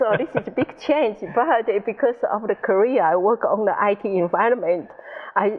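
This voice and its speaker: With a Taiwanese accent, a woman speaks at a fairly high pitch and varies it in an ordinary way. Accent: Taiwanese Mandarin accent on English. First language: Mandarin. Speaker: IT specialist. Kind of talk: interview.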